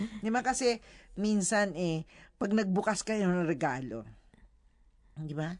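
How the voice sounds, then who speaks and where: Over a quiet background, a woman at a medium pitch speaks fairly slowly in an animated tone with lively intonation. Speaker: radio host. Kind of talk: casual chat. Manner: animated, laughing often.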